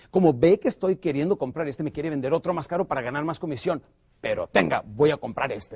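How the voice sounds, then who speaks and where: A man speaks in an animated tone at a fairly high pitch. Vocal fry runs through his voice. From northern Mexico, Ciudad Juárez, Chihuahua. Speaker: sales trainer. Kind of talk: motivational sales training.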